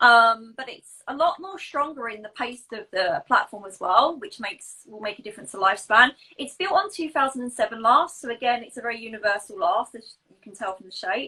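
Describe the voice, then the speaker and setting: A woman with an English accent speaks at a fairly quick pace with hardly any pauses. Her high pitch carries lively intonation and big swings in loudness. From England. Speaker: pointe shoe fitter. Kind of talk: casual interview chat about products.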